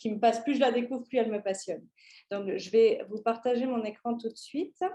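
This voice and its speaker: Speaking in a Parisian accent, a woman has a dark, mellow tone and fairly even intonation. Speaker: tourism consultant, company founder. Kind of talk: conference presentation. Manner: hesitant, many fillers and restarts.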